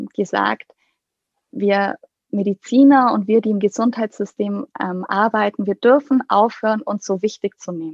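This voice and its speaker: The recording is dry and close, with no echo. A woman talks with fairly even intonation. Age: 30s. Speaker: pediatrician and coach for doctors. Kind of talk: interview conversation.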